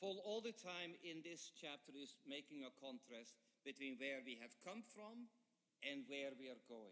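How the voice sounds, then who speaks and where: A man talks at a fairly slow pace with very wide pitch swings. His tone is bright and sharp. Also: fairly high pitch for a man. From Netherlands. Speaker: guest preacher, professor. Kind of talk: sermon with interpreter. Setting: church. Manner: short phrases, pausing for interpreter.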